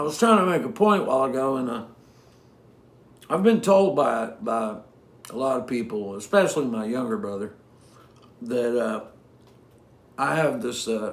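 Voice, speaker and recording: Against audible room echo, a man at a medium pitch speaks at a moderate pace, his pitch swinging very widely, with long, frequent pauses. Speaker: singer-songwriter. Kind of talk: casual chat between songs on a livestream. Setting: home livestream from living room. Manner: halting, many fillers and cut-off sentences.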